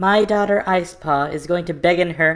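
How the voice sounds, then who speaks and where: Someone speaks at a moderate pace in a put-on character voice of middle pitch. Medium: read story.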